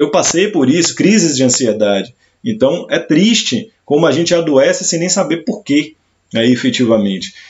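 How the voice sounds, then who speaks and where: Pitched fairly high for a man, his voice carries vocal fry and very wide pitch swings at a moderate pace. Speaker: career coach and former education executive. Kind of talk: live stream talk. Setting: live stream.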